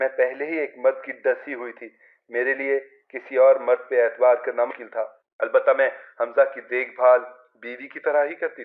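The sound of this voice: A man's medium pitch with little pitch movement. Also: moderate pace.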